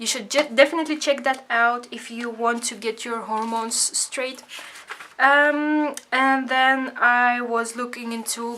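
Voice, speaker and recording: This woman's voice is high, and she speaks at a fairly slow pace. Her intonation is monotone and flat, while her loudness swings widely. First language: Dutch. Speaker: craft vlogger. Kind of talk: casual tutorial vlog. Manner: hesitant, many fillers.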